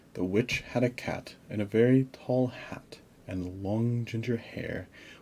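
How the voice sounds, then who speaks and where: Soft-spoken and somewhat breathy, a man talks in a calm, gentle, dark and mellow tone with ordinary pitch variation. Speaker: storyteller. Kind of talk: children's bedtime story read-aloud. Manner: soft, calm, gentle.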